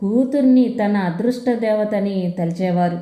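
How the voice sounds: The woman's tone is dark and mellow, and her pitch varies in an ordinary way. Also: medium pitch for a woman, moderate pace.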